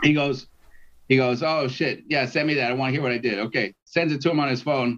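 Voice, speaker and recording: Fairly quick and fairly even in intonation, a man speaks at a medium pitch in an unremarkable speaking voice. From Canada, Toronto. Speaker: musician. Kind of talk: casual chat. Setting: video call.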